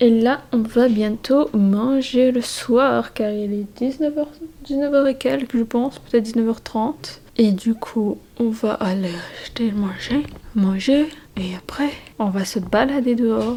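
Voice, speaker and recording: A woman speaks at a fairly slow pace. Noticeable noise runs in the background. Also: fairly high pitch for a woman, ordinary pitch variation. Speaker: vlogger. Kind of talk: casual vlog talk to camera. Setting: holiday rental at night. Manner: hesitant, many fillers; whispering.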